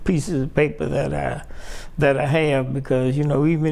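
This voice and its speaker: A man speaks with an American accent at a moderate pace. There is audible room echo. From Chicago, South Side. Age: 70s. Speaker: Air Force veteran. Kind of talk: interview. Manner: halting.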